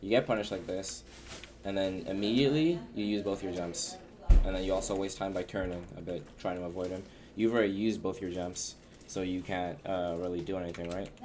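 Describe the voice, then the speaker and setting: Audible room echo surrounds a man with a very deep, low pitch who speaks at a fairly quick pace and uses ordinary pitch variation. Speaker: video game coach. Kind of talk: gameplay coaching review. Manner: fast.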